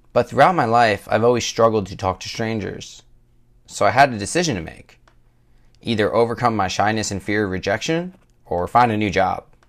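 Moving at a fairly quick pace, a man with an unremarkable speaking voice and medium pitch uses lively intonation and big swings in loudness. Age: 20s. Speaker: podcast host, fitness coach. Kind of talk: scripted monologue.

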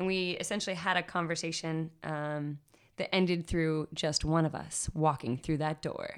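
In a very clean recording with a silent background, a woman with an American accent talks at a moderate pace in a fairly low, monotone, flat voice. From Washington DC area. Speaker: spoken word poet. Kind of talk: interview.

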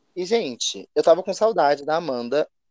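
A man at a moderate pace with ordinary pitch variation, in a dry, close sound with no echo. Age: 20s. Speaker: podcast co-host, online reality game player. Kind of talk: casual chat.

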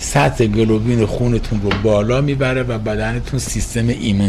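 Over noticeable background noise and audible room echo, a man talks at a fairly low pitch with fairly even intonation. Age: 60s. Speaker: recovering addict sharing story. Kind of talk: interview testimony.

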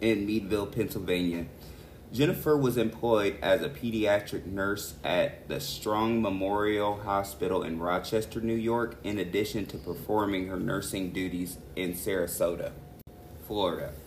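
With ordinary pitch variation, the speech moves at a moderate pace amid audible room echo. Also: man, fairly low pitch for a man. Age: 30s. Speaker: true crime podcast co-host. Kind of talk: casual chat.

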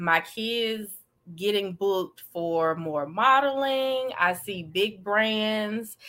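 A woman with an Alabama accent, very slow, bright and sharp in tone, with lively intonation. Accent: Southern US (Alabama). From US South, Alabama. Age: 30s. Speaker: social media influencer and blogger. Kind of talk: interview. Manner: hesitant, many fillers.

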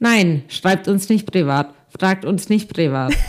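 Lively intonation marks a woman's medium-pitched voice, an unremarkable speaking voice. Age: 20s. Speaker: podcast co-host. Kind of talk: casual chat.

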